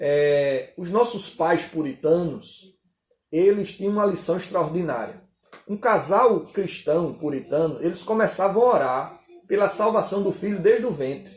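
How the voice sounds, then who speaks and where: With a high pitch, a man speaks at a fairly slow pace. His pitch varies in an ordinary way. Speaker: pastor. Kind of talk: sermon with live Q&A. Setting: online conference livestream.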